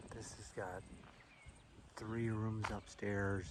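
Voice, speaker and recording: A soft-spoken man is heard with audible room echo and noticeable background noise. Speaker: hiker vlogger. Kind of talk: casual vlog narration. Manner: soft-spoken, talking low.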